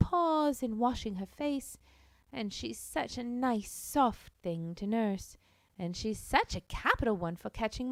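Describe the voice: The speaker is plainly reading aloud. The intonation is lively.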